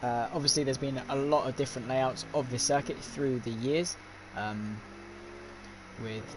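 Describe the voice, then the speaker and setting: Speaking with a British accent at medium pitch, a man keeps a moderate pace and fairly even intonation, broken by long, frequent pauses. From Britain. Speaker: sim racing commentator. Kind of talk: live commentary. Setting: live stream.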